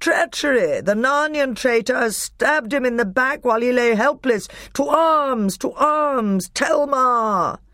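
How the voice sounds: A woman uses a put-on character voice with a fairly bright tone and high pitch. She talks at a slow pace with few pauses and lively intonation.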